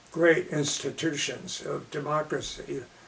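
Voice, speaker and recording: A man speaks at a fairly slow pace with an American accent. Noticeable background noise runs under his voice. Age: 80s+. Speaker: author and journalism lecturer; World War Two veteran. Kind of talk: interview answer.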